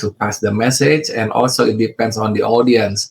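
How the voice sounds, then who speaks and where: This man talks with an Indonesian accent and fairly even intonation. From Indonesia, West Java (Bandung). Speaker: real estate investor. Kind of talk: interview. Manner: halting, many fillers; careful, deliberate.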